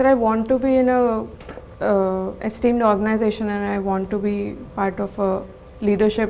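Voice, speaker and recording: Over noticeable background noise, the speaker talks at a moderate pace in a monotone, flat intonation. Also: woman, fairly high pitch for a woman. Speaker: MBA interview candidate. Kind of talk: mock job interview. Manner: halting, stuttering.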